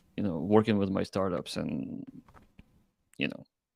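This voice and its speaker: A man with a non-native accent talks at a moderate pace and fairly low pitch, with fairly even intonation. The recording is very clean and the background silent. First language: not English. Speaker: crypto startup founder. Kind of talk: interview. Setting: live stream. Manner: halting.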